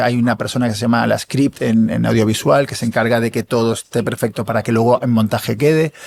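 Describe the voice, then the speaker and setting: A man at a very fast pace, medium pitch and ordinary pitch variation. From Canary Islands. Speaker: actor. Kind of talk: interview conversation.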